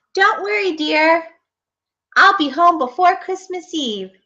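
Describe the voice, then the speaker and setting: A woman puts on a squeaky character voice. Her pitch is extremely high and her pace fairly slow. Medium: read story.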